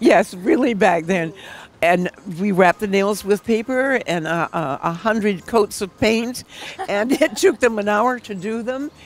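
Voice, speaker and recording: Noticeable background noise sits behind a woman with an American accent who speaks fairly slowly in a medium pitch with lively intonation. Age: 80s+. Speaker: nail instructor. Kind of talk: interview. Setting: event venue.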